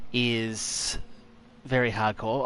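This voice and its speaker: This is a man speaking. He talks with an Australian accent. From Tasmania, Australia. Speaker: gaming streamer. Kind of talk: live gameplay commentary. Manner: casual, chatty.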